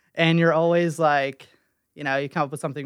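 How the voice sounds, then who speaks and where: Against a quiet background, a man with an American accent talks in a monotone, flat intonation. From West Virginia (Weston). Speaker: small business owner, designer. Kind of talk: casual chat. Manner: halting, many fillers.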